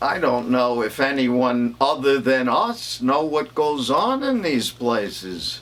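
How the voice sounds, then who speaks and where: A man at a very slow pace, with very wide pitch swings and noticeable background noise. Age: 80s+. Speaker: comedian. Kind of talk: stand-up.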